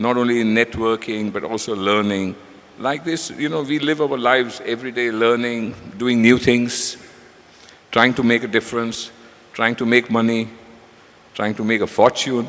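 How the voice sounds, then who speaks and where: A man speaks at a medium pitch. It is an ordinary speaking voice. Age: 60s. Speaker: business leader. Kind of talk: panel talk.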